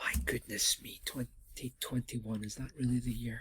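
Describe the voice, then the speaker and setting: Somewhat breathy and dark, mellow in tone, a man speaks at a moderate pace in a dry, close sound with no echo. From Scotland. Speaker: university lecturer. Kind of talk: lecture. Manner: hesitant, many fillers.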